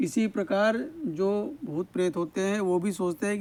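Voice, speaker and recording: A man speaks with ordinary pitch variation. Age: 60s. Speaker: village storyteller. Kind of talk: casual on-location storytelling. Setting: outdoors at an orchard well. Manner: animated, repetitive emphasis.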